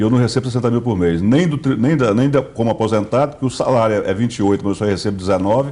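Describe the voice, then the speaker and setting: A man's medium-pitched, dark, mellow voice at a very fast pace, hardly any pauses, ordinary pitch variation and very even loudness. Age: 60s. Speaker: state politician. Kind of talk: interview. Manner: halting.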